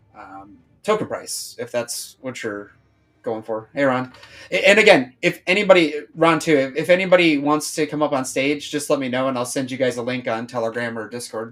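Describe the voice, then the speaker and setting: Over music in the background, a man speaks in a fairly high voice with lively intonation. His loudness swings widely. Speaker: crypto project streamer. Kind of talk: casual live stream chat. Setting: live stream. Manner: fast; hesitant, repeats words.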